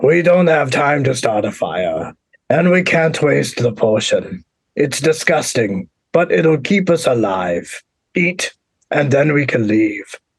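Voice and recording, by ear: In a put-on character voice, a man speaks fairly slowly at a fairly high pitch.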